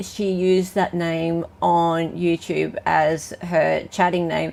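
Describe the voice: A woman's fairly low voice with an Australian accent, slow and fairly even in intonation, with vocal fry.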